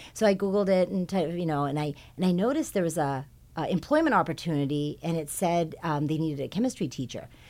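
In a Californian accent, a dark, mellow voice speaks at a very fast pace with ordinary pitch variation on a very clean recording with a silent background. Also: woman. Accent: Californian American. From Southern California, South Bay. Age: 40s. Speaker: high school science department chair. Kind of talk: casual interview.

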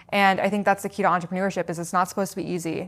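A woman with an American accent talks at a very fast pace. Her medium-pitched voice has fairly even intonation on a very clean recording with a silent background. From US West Coast (Seattle, Washington). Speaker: founder of a non-alcoholic drinks business. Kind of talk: interview.

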